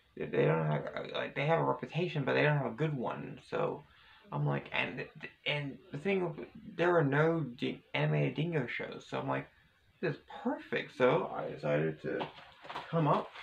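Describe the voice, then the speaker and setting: With long, frequent pauses and noticeable background noise, a man speaks at a moderate pace. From Australia. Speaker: vlogger. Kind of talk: casual vlog monologue. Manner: halting, many repetitions and fillers.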